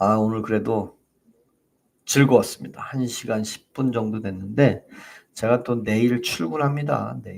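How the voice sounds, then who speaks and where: Animated in tone, a man with a medium pitch and ordinary pitch variation talks at a fairly slow pace, with big swings in loudness. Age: 50s. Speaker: political YouTuber, company worker. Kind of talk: casual political commentary monologue.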